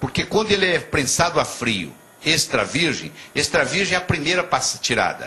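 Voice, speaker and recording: A man speaking at a moderate pace. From Brazil, Minas Gerais (Juiz de Fora). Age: 60s. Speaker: physician and motivational speaker. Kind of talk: TV interview.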